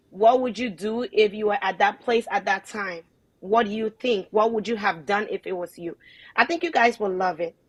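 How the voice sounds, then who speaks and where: At a moderate pace, a woman with a fairly high pitch speaks in an animated tone. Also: dry, close sound with no echo, quiet background. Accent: Liberian. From Liberia. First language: not English. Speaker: online show host. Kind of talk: casual chat.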